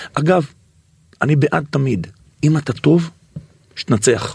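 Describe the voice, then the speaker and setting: This man's voice sits fairly high and carries vocal fry. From Israel, Bnei Brak. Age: 50s. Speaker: singer and radio presenter. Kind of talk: casual interview chat.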